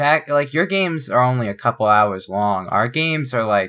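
A man's bright, sharp voice with very wide pitch swings, at a moderate pace, on a very clean recording with a silent background. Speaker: podcast co-host. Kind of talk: casual chat. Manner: animated.

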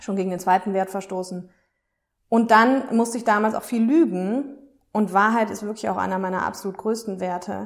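A woman of medium pitch speaks at a moderate pace in an unremarkable speaking voice with ordinary pitch variation. The recording is very clean, with a silent background. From Germany, Aachen. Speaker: self-care podcast host and coach. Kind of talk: casual monologue.

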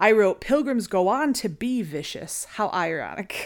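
On a very clean recording with a silent background, a woman speaks in an animated tone with lively intonation. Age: 30s. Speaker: podcast co-host, former museum educator. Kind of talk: casual chat.

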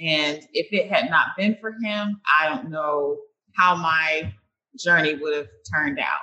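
A woman with a normal speaking voice, fairly low in pitch, with lively intonation at a fairly slow pace. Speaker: network engineer and author. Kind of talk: interview.

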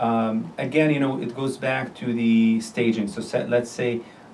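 A man speaks at a moderate pace. The recording carries noticeable background noise and audible room echo. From Jordan. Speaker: surgical oncologist. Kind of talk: interview, medical discussion. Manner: halting, many fillers.

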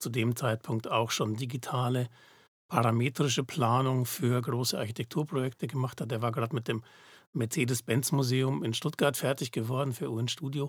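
Somewhat breathy and at medium pitch, a man talks at a moderate pace with fairly even intonation on a very clean recording with a silent background. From Germany, Munich (Bavaria). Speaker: digital fabrication company founder, computer scientist. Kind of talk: casual interview.

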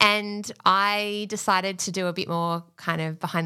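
A woman's fairly low, bright and sharp voice with an Australian accent and ordinary pitch variation, in a very clean recording with a silent background. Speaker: podcast business manager, former teacher. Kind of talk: casual interview chat.

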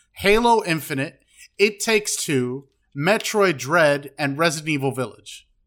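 Lively intonation marks this man's normal speaking voice, pitched fairly high and delivered at a fairly slow pace. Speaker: podcast host. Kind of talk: casual chat.

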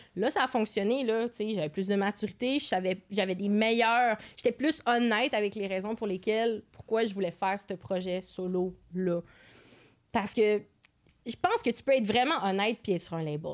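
A normal speaking voice at a moderate pace, with ordinary pitch variation. The recording is very clean against a silent background. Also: woman, fairly high pitch for a woman. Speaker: musician and music teacher. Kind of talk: casual chat.

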